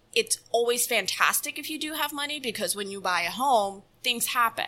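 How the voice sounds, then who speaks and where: A woman with a bright, sharp tone talks at a moderate pace with lively intonation. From Dominican Republic. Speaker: loan officer. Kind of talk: podcast interview.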